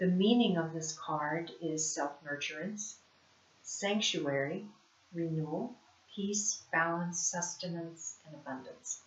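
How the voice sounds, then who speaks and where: Speaking very slowly with an American accent, a woman uses a fairly low pitch with ordinary pitch variation and big swings in loudness, over noticeable background noise. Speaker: spiritual life coach, card reader. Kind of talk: oracle card reading monologue. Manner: casual, with hesitations.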